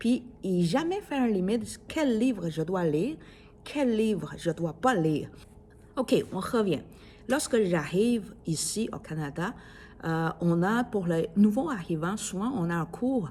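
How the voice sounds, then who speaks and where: A woman with a Chinese accent speaks at a very slow pace in a dark, mellow, somewhat breathy tone, her medium pitch rising and falling in very wide swings. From China. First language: Chinese (speaking French). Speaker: podcaster. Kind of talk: casual monologue. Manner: halting, many fillers.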